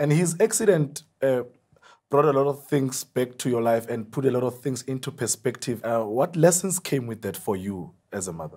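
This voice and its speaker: Against a quiet background, a man with a dark, mellow tone speaks at medium pitch and a moderate pace, his pitch swinging very widely. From South Africa. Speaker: TV talk show host. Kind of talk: TV interview. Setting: studio. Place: studio. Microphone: lapel.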